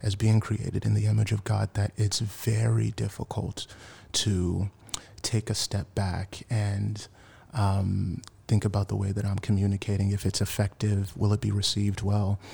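With a Mid-Atlantic American accent, a man speaks at a moderate pace in a fairly low, somewhat breathy voice that is dark and mellow, with monotone, flat intonation. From Washington, D.C. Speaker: church member, race cohort participant. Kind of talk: casual chat.

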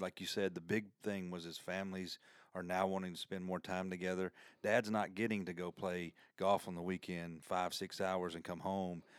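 Very deep, low male speech in a monotone, flat intonation at a moderate pace, on a very clean recording with a silent background. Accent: Southern US. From US South. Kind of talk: casual interview conversation.

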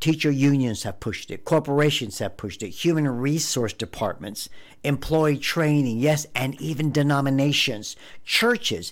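Talking at a moderate pace, a man with a normal speaking voice and fairly high pitch uses ordinary pitch variation. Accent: American. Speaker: podcast host, conservative commentator. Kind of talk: angry rant. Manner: indignant, heated, accusatory.

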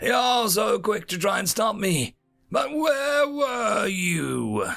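A man puts on a raspy, wheezy, growling character voice at a high pitch, speaking at a very slow pace with faint music in the background. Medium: read story. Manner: menacing, snarling.

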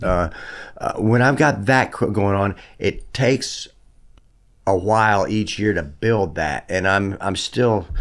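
A man with a Southern US accent, fairly low pitch and ordinary pitch variation, at a very slow pace with long, frequent pauses, on a very clean recording with a silent background. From US South. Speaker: songwriter and guitar player. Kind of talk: casual interview chat. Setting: studio.

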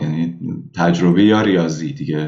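A man speaks in a Tehran accent at a moderate pace. His intonation is fairly even, and there is audible room echo. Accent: Tehran Persian. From Iran, Tehran. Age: 20s. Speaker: emigrant, former engineering student. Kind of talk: casual interview.

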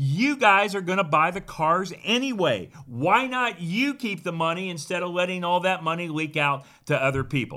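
In a very clean recording with a silent background, a man speaks at a high pitch with hardly any pauses, using an animated, enthusiastic, bright and sharp tone and lively intonation. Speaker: financial pitchman selling whole life insurance. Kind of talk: infomercial-style sales pitch with rhetorical questions and a screen presentation. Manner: animated, salesy, enthusiastic, punchy rhetorical questions.

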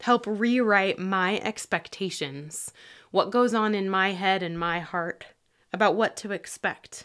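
This woman has a plain, everyday voice and talks at a fairly slow pace with ordinary pitch variation. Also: medium pitch for a woman. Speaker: pastor. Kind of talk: devotional talk with prayer; fervent, intimate prayer addressed to God. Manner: earnest, fervent, pleading, heartfelt.

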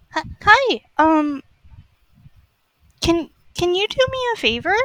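In a put-on character voice pitched extremely high for a woman, a woman speaks at a very slow pace. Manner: questioning, polite.

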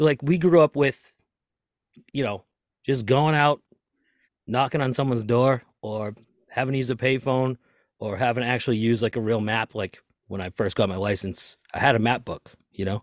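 Speech with a Boston accent comes at a moderate pace with long, frequent pauses and ordinary pitch variation, in a dry, close sound with no echo on a very clean recording with a silent background. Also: man, medium pitch for a man. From US Northeast, Lynn, Massachusetts (Boston area). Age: 30s. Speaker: tour manager and podcaster. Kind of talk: casual chat.

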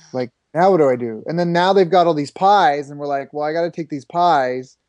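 A man with a plain, everyday voice speaks with a Canadian accent. He moves at a fairly quick pace with ordinary pitch variation. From Canada (Toronto area). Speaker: business coach. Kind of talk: interview.

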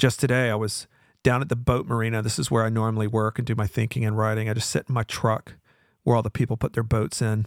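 A man with an American accent talks at a very fast pace, medium in pitch with fairly even intonation. The recording is very clean with a silent background and a dry, close sound with no echo. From US South. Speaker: podcast host, author. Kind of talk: live talk show monologue. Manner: casual, rambling, humorous.

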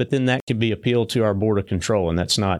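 This is a man talking. He speaks with a Southern US accent. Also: very clean recording, silent background. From Tennessee. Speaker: state high school sports association director. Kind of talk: casual interview.

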